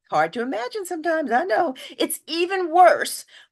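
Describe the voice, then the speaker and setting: A woman speaks with an American accent at a fairly slow pace. The background stays quiet. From New York. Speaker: activist speaker and minister. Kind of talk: talk to online audience. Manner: many fillers, halting.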